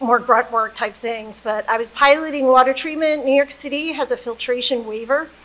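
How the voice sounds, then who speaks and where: A woman's high-pitched voice at a fairly quick pace. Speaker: water utility executive; panelist. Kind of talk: panel presentation. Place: hall.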